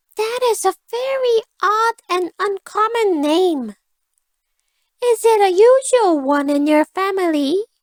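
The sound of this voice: In a dry, close recording with no echo, a woman uses a put-on character voice at an extremely high pitch, talking slowly with lively intonation.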